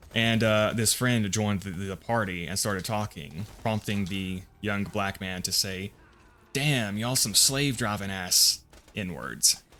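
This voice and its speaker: Over music in the background, the speaker talks at a fairly slow pace with a slight Southern US accent and ordinary pitch variation. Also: man. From US South (Appalachia, Bible Belt). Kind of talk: casual gameplay commentary. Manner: casual, hesitant with repetitions.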